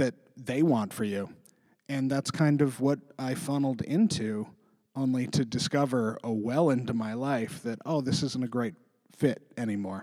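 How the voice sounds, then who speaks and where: A dark, mellow tone in a Western Canadian accent, with a moderate pace, ordinary pitch variation, and a very clean recording with a silent background. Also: man. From interior British Columbia, Canada. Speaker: writer and editor, comedian. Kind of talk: casual interview chat.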